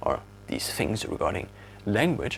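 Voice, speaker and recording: A man with a German accent. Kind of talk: casual talk to camera.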